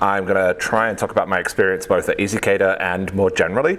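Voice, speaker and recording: In a British accent, a man speaks at a fairly quick pace. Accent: British, noticeable. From UK. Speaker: software engineer, conference speaker. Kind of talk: tech talk. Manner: many fillers (um, uh).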